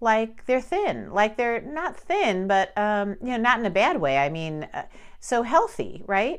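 A woman with an American accent speaks at a fairly high pitch with lively intonation over a quiet background. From Chicago, Armenian diaspora family. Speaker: podcast host. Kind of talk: casual monologue.

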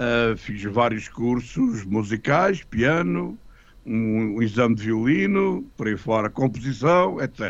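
The man's voice sits at medium pitch with ordinary pitch variation. He talks at a very slow pace. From Portugal, Lisbon. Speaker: retired music teacher and composer. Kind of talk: radio interview.

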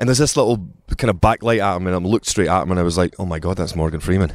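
With a Glaswegian accent, a man speaks in a very deep, low pitch. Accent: Glaswegian Scottish. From Scotland, Glasgow. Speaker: actor. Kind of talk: casual chat.

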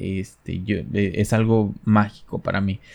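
A man talks with a Mexican accent. The background is quiet. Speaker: podcast host. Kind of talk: casual monologue. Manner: halting.

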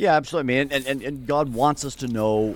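A man with a southern Ontario accent talks at a very fast pace. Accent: Canadian (southern Ontario). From Canada, near Toronto. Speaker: theology professor. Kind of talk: interview.

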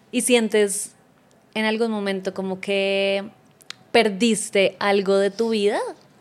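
The speech is very slow and monotone, with flat intonation and long, frequent pauses. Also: woman, medium pitch for a woman. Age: 30s. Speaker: podcast host. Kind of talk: casual interview chat.

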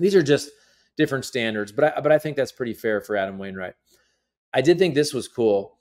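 A man with a plain, everyday voice talks at a fairly quick pace in a medium pitch with lively intonation. The recording is very clean, with a silent background. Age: 40s. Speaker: sports podcaster. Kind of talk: casual commentary monologue.

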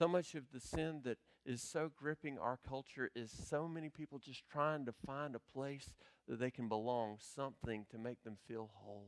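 A man talks at a moderate pace and medium pitch in an ordinary speaking voice. The sound is dry and close, with no echo. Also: ordinary pitch variation. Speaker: pastor. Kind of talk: sermon. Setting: church.

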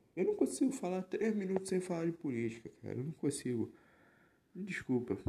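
A man talks at a moderate pace. His tone is dark and mellow and somewhat breathy. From Rio de Janeiro metro area, Baixada Fluminense (Nova Iguaçu). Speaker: podcast host. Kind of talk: casual monologue. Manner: animated.

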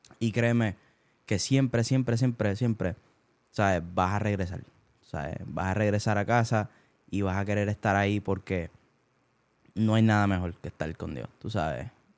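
With a Puerto Rican accent, a man speaks at a fairly low pitch, leaving long, frequent pauses. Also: ordinary pitch variation, moderate pace. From Puerto Rico (Bayamón). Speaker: singer. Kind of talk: casual chat. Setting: rented house late at night. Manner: quiet, laid back.

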